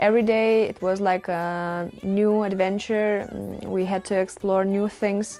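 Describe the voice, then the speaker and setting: In a Lithuanian accent, a woman talks at a moderate pace and medium pitch. Her intonation is monotone and flat. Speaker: volunteer nurse. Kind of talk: interview testimony. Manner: halting.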